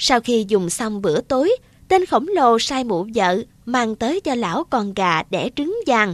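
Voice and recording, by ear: Someone reads aloud here in a natural voice.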